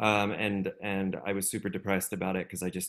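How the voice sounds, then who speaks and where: Over a quiet background, a man with a very deep, low pitch talks at a fairly quick pace in a monotone, flat intonation. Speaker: music education meetup co-host. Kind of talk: online group meetup hosting. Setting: video call. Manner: halting, many filler words. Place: home room.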